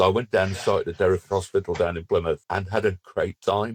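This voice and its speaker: A man with a very deep, low pitch talks very fast, keeping his intonation fairly even. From northern England. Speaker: finance director. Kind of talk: podcast interview. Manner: halting, with repeated words.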